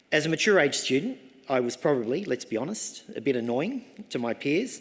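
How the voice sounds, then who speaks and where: With an Australian accent, a man speaks at a medium pitch and fairly quick pace with lively intonation. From Australia, Sydney. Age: 60s. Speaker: professor. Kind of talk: graduation address. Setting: ceremony hall with audience. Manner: formal.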